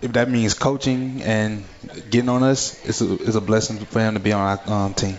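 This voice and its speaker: Noticeable background noise behind a man's medium-pitched voice, with fairly even intonation at a moderate pace. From Baton Rouge, Louisiana. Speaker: college football player. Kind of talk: radio interview.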